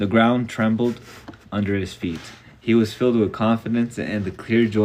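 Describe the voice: The delivery is plain reading aloud, its intonation fairly even.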